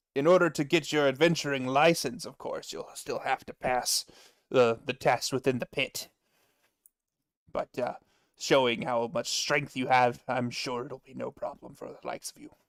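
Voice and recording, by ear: A put-on character voice comes through gruff and strained at a low-to-middle pitch. The pace is moderate.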